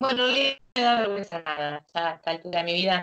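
A woman with a Rioplatense accent, moderate pace, ordinary pitch variation, quiet background. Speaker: interviewee living abroad. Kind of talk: interview answers. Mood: cheerful, relaxed. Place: home room. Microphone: video call.

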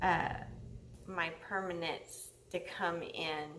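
A woman speaks at a very slow pace. There is light background noise. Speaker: vlogger. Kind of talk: casual vlog chat. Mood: friendly, chatty. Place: home room. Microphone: webcam.

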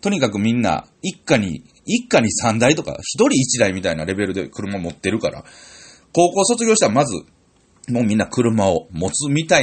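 In a Tokushima accent, a man at a medium pitch speaks at a moderate pace with very wide pitch swings. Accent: Awa (Tokushima) dialect, Kansai-like. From Tokushima, Japan. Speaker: comedian. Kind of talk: solo radio-style talk. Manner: casual, chatty.

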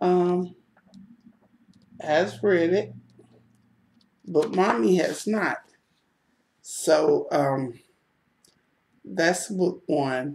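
Lively in intonation, a woman with an American accent speaks very slowly in a fairly low voice with vocal fry and long, frequent pauses, over light background noise. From United States. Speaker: book vlogger. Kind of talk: casual book review vlog. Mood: warm, friendly. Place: home room. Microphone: webcam.

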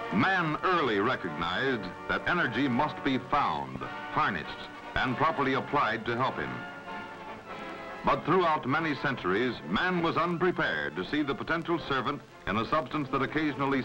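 Clear music in the background behind a man's moderate-paced speech. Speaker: documentary narrator. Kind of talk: documentary narration. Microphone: old recording.

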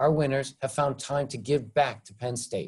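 A man speaks at a moderate pace, somewhat breathy, with a dark, mellow tone. The background is quiet. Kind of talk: formal welcome speech. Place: home room. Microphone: webcam.

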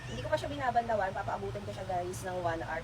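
Through noticeable background noise, a woman speaks at a fairly low pitch. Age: 30s. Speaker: vlogger. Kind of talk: casual vlog. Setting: at home.

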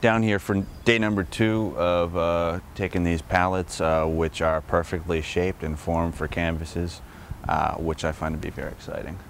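Amid light background noise, a man's very deep, low voice comes through with a dry sound and no echo. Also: ordinary pitch variation, moderate pace. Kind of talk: casual vlog chat. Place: street. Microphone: phone near.

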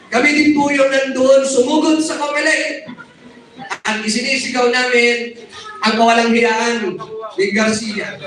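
A man's extremely high-pitched voice, with noticeable background noise and audible room echo. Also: ordinary pitch variation, fairly slow pace. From Zamboanga region, Philippines. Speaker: activist group leader. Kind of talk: rally speech.

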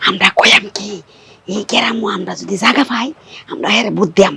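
In a put-on character voice, the speaker sounds raspy, with a fairly high pitch and a fairly quick pace. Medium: short film. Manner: blunt, insistent.

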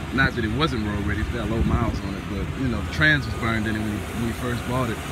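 A man's voice sounds dry with no echo, set against loud background noise. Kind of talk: casual vlog chat. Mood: pleased about trade. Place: street. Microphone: phone near.

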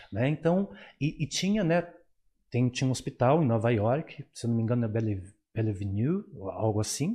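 A man's somewhat breathy voice at a moderate pace, very even in loudness, with long, frequent pauses. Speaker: psychologist and professor. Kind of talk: interview on psychology. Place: studio. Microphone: studio mic.

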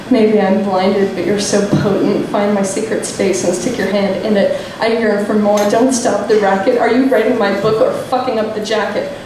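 A woman speaks in a monotone, flat intonation, with noticeable background noise and audible room echo. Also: moderate pace. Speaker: slam poet. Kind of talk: spoken word poetry performance, rhymed and confessional. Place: stage.

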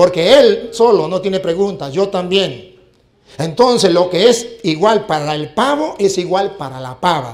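With lively intonation, a man talks in an animated tone. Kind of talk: heated debate. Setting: stage with audience. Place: hall. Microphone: handheld.

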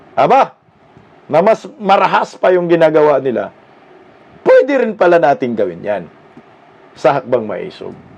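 A man speaks at a moderate pace in a high voice with an animated tone. His pitch swings very widely, and he leaves long, frequent pauses. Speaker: political commentator vlogger. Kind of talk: commentary voiceover over rally footage, opinionated. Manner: animated, sarcastic, emphatic with repeated phrases; indignant, mocking, rally-speech style.

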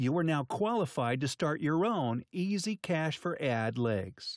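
Very wide pitch swings mark this fairly slow delivery, heard as a dry, close sound with no echo on a very clean recording with a silent background. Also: man. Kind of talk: infomercial sales pitch. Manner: hyped, emphatic, salesman-style delivery.

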